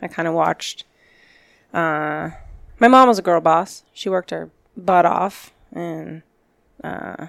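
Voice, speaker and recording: An American-accented woman talks at a fairly slow pace. Her pitch sits fairly low, with ordinary pitch variation. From Arizona, Glendale. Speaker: fire captain. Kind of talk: casual chat.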